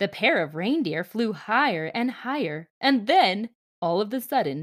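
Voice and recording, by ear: Over a quiet background, someone is reading aloud in a natural voice, the intonation lively.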